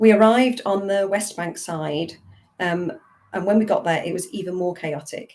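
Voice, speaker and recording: Speaking with a British accent, a woman talks at a moderate pace in a medium pitch with ordinary pitch variation. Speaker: theology professor. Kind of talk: webinar talk.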